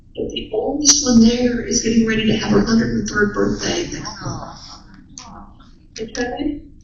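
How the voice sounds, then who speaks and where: A woman's voice, with noticeable background noise and audible room echo. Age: 70s. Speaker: minister. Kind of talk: sermon.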